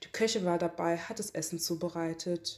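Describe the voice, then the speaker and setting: A woman talks at a fairly slow pace with fairly even intonation. Her pitch is fairly low. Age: 20s. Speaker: interviewee sharing racism experiences. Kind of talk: testimony.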